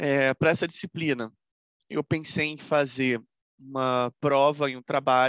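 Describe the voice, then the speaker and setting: Over a quiet background, a man with a fairly high pitch speaks with fairly even intonation in a dry, close sound with no echo. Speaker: law professor. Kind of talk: lecture.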